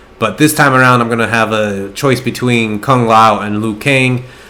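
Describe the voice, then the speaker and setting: A man speaks at a moderate pace, with noticeable background noise present throughout. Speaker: gaming YouTuber. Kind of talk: gameplay commentary. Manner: sometimes tongue-tied, blends words.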